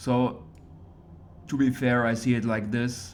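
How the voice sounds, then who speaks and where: Medium-pitched male speech with noticeable echo from the room. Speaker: esports caster. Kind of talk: game commentary. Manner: slow.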